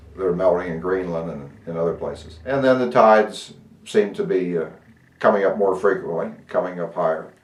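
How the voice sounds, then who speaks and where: A man speaks at a moderate pace in a very deep, low voice with an American accent. His pitch varies in an ordinary way, and the room echo is audible. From Ohio, US Midwest. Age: 60s. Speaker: pastor. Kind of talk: interview. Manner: halting, many fillers.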